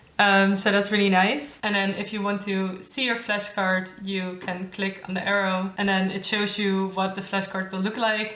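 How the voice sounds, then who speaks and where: Against noticeable background noise and audible room echo, a woman with a Dutch accent speaks at medium pitch and a moderate pace, with monotone, flat intonation and hardly any pauses. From Netherlands. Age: 20s. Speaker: YouTuber, master's student. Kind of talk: tutorial. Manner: casual.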